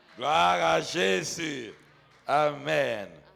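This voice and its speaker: At a very slow pace, a man speaks with audible room echo. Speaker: pastor. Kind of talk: sermon. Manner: loud.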